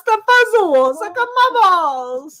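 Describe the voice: A woman's put-on character voice in an Italian accent, extremely high-pitched, with very wide pitch swings and a fairly slow pace. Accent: bad Italian.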